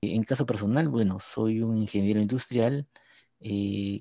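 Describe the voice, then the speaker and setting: Speaking fairly slowly, a man uses a medium pitch and a dark, mellow tone with fairly even intonation. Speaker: podcast co-host, industrial engineer. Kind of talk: casual chat.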